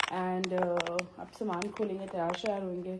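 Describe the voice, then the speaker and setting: A woman speaks over noticeable background noise. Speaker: travel vlogger. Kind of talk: casual vlog talk. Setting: hotel room.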